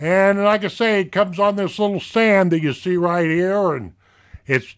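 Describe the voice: A man's voice sits high in pitch and carries a fairly bright tone. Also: very clean recording, silent background.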